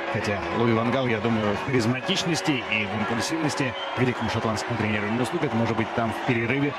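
Over noticeable background noise, a man at a medium pitch speaks very fast in an animated, excited tone, with ordinary pitch variation. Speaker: football commentator. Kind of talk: live football commentary, race call. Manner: animated, fast-paced; excited, rapid-fire play-by-play.

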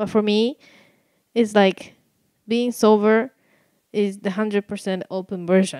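In a dry, close sound with no echo, a woman with a medium pitch and a dark, mellow tone speaks at a very slow pace with fairly even intonation and long, frequent pauses. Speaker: podcast co-host. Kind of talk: casual chat.

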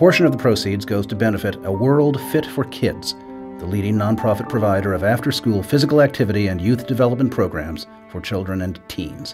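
A man with a fairly low voice talks fairly quickly and with lively intonation while music plays behind him. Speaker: actor. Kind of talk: promotional spot read.

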